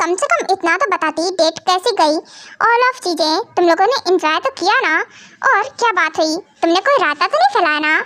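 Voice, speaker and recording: In a put-on character voice, a woman talks at a moderate pace with an extremely high pitch and lively intonation. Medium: fan dub.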